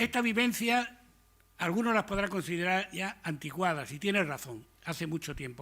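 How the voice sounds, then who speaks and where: This man has a high voice with a bright, sharp tone and speaks at a moderate pace. The recording is very clean, with a silent background. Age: old. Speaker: retired army officer. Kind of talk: talk to an audience. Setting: lecture hall with audience. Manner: informal, conversational.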